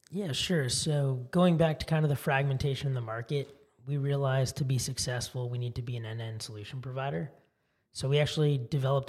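A man talks at a very fast pace in a somewhat breathy voice with fairly even intonation. The recording is very clean, with a silent background. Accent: American. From US West Coast (Silicon Valley, California). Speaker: tech startup founder. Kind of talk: interview.

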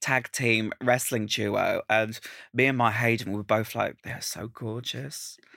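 Recorded very cleanly against a silent background, a man with an Estuary English accent speaks at a moderate pace in a dry, close sound with no echo. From Essex, England. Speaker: drag queen. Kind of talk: casual chat. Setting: studio. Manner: animated.

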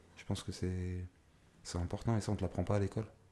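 Talking very fast, a man uses a very deep, low pitch and a dark, mellow tone with monotone, flat intonation. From France, Paris region (Argenteuil). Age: 20s. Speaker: entrepreneur, former prisoner. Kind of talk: interview, life story.

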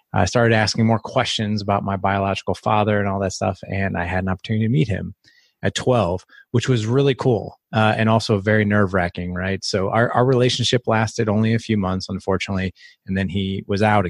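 With an ordinary speaking voice, a man speaks at a fairly low pitch and a fairly quick pace, his intonation fairly even, in a dry, close sound with no echo. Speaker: podcast host and fathers' coach. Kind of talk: interview.

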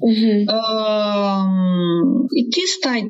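A woman speaks with lively intonation at a fairly high pitch. Noticeable background noise runs underneath. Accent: Romanian. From Romania. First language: Romanian. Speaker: PhD student and teacher. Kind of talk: interview. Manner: slower in English than Romanian.

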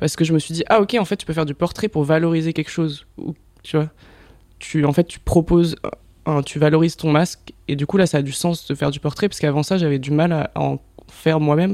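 With a plain, everyday voice, a man speaks at a fairly high pitch with fairly even intonation. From southern France. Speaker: photographer and director. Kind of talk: casual chat.

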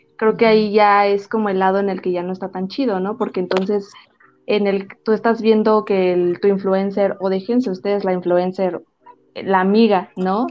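Flat, monotone speech from a woman at medium pitch and a moderate pace. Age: 20s. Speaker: podcast host. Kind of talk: casual chat.

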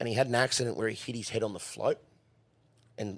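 A man speaks with an Australian accent at a medium pitch. His pace is fairly quick. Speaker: horse racing worker. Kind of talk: casual chat. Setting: studio. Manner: animated.

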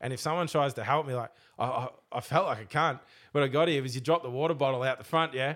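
On a very clean recording with a silent background, a man with an Australian accent talks very fast at a fairly high pitch with fairly even intonation. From Australia, Melbourne eastern suburbs. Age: 30s. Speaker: boat racing driver. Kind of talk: casual chat. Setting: studio.

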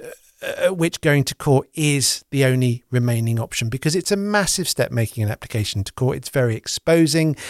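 In an ordinary speaking voice, a man talks fairly quickly at a fairly high pitch with lively intonation and big swings in loudness, recorded very cleanly with a silent background and a dry, close sound with no echo. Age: 40s. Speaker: podcast host. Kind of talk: podcast interview.

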